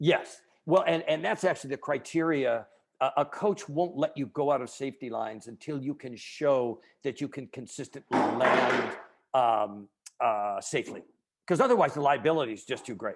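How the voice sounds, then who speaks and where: A man speaks in an unremarkable speaking voice at a fairly high pitch. His intonation is lively and his pace moderate. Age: 60s. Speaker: author and keynote speaker. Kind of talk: interview.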